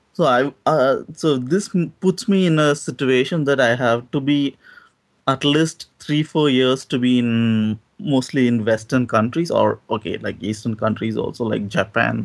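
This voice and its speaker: On a very clean recording with a silent background, a man with an Indian accent speaks at a medium pitch and a fairly slow pace. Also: ordinary pitch variation. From South India. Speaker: doctoral student, caller. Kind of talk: debate.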